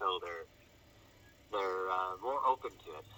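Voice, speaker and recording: A moderate pace over noticeable background noise. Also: man. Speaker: interviewee telling personal story. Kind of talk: interview testimony. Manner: quiet; hesitant, many fillers. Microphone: phone held close to face after being in shirt pocket.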